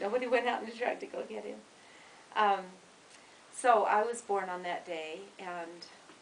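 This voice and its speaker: In an American accent, the speaker goes at a moderate pace with long, frequent pauses, ordinary pitch variation and big swings in loudness. Noticeable background noise and audible room echo fill the recording. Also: woman, medium pitch for a woman. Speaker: grandmother telling family stories. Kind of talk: casual storytelling.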